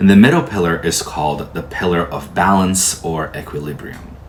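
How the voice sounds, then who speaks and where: A man with a Portuguese accent speaks at a moderate pace with a very deep, low pitch. Audible room echo and noticeable background noise fill the recording. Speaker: tarot teacher. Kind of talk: lecture.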